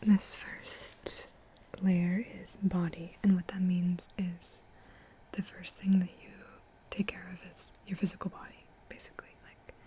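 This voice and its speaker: Someone whispers at a very slow pace, with long, frequent pauses. Background noise is noticeable. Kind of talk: ASMR soft-spoken ramble; casual talk to camera, reflective. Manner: soft-spoken, conversational.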